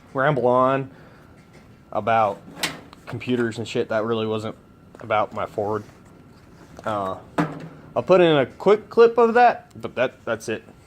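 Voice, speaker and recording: Over noticeable background noise, a man talks fairly slowly at a medium pitch, leaving long, frequent pauses. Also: ordinary pitch variation. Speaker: truck hobbyist vlogger. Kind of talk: casual workshop vlog. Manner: casual, rambling with fillers.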